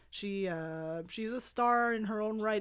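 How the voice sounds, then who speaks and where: On a very clean recording with a silent background, a woman with a Quebec French accent speaks at a fairly high pitch and with fairly even intonation. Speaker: music journalist. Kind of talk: casual chat.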